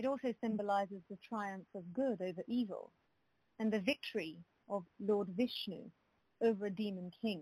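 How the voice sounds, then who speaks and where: A woman's somewhat breathy, dark and mellow voice at medium pitch, with ordinary pitch variation and a moderate pace, on a very clean recording with a silent background. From London, England. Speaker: law firm conflicts analyst. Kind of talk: casual interview.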